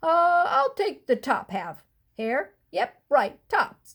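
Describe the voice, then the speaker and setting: A woman uses a put-on character voice with a high pitch. She swings her pitch very widely and speaks at a very slow pace. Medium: read story. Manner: slow, drowsy, grumbling.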